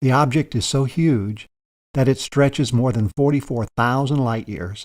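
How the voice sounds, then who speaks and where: In a very clean recording with a silent background, a man with a plain, everyday voice talks at medium pitch and a moderate pace with ordinary pitch variation. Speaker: space documentary narrator. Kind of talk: science documentary narration.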